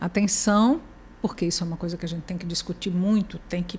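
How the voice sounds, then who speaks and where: Her voice has a dark, mellow tone and comes across as somewhat breathy. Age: 60s. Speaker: journalist, professor and writer. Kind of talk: interview conversation.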